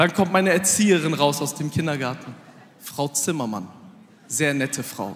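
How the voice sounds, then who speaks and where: With lively intonation and an animated tone, a man talks at a moderate pace in a fairly high pitch. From Aachen area, Germany; Germany. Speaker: comedian. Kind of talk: stand-up. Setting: stage with audience. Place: stage. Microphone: handheld.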